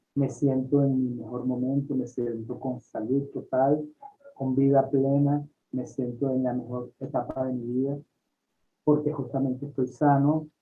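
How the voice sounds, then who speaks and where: With monotone, flat intonation, the speaker moves at a fairly slow pace. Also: man. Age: 60s. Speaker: holistic doctor and author. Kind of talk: interview.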